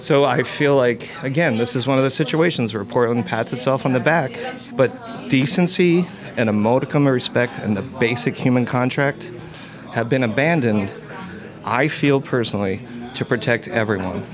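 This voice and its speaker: A man speaks at medium pitch and a moderate pace, with ordinary pitch variation and very even loudness. Noticeable background noise can be heard. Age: 40s. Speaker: tavern owner. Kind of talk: recorded interview. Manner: passionate.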